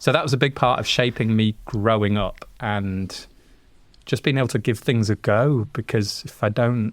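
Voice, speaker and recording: A man with a Yorkshire accent speaks at a moderate pace with fairly even intonation. The recording is very clean, with a silent background. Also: medium pitch for a man. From Yorkshire, northern England. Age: 40s. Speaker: sound engineer. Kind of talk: podcast interview.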